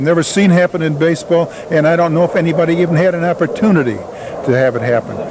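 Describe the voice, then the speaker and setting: A man talks with an American accent and ordinary pitch variation. Noticeable background noise runs under his voice. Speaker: former baseball player. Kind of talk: interview.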